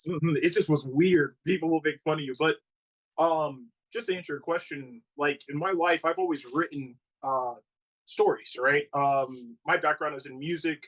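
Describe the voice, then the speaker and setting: Dry and close with no echo, a man talks at a moderate pace and a fairly high pitch. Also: fairly even intonation. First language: not English. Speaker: comic book writer. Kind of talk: casual interview. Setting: livestream. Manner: halting.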